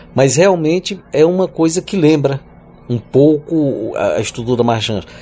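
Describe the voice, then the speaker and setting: A man's voice with very wide pitch swings. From Piauí, Brazil (Northeast). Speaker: singer-songwriter and university professor. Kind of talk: interview. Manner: halting, repeats words.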